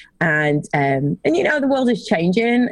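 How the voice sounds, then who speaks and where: A woman with an American accent speaks at a moderate pace in a somewhat breathy, medium-pitched voice, with a dry, close sound and no echo. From England. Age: 40s. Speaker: sales consultant. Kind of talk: casual interview.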